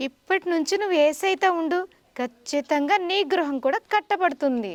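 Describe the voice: A woman's high-pitched voice with lively intonation, dry and close with no echo. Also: moderate pace.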